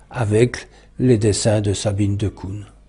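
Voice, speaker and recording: A man with a fairly low pitch and a dark, mellow, somewhat breathy tone speaks at a very slow pace. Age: 80s+. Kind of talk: interview, autobiographical recollection. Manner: halting, many hesitations.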